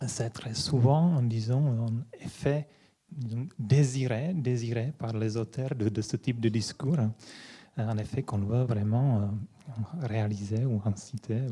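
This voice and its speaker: A man's very slow, somewhat breathy voice with a dark, mellow tone and a Czech accent. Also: medium pitch for a man, ordinary pitch variation. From Czech Republic (Prague). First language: Czech (speaking French). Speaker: philosophy lecturer. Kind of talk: lecture. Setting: conference hall with audience. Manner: halting, many hesitations.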